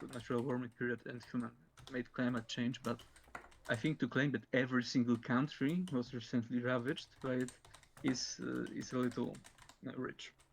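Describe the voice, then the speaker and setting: A moderate pace, with a Polish accent. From Poland. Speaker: debater. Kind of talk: formal debate. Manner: halting, many fillers.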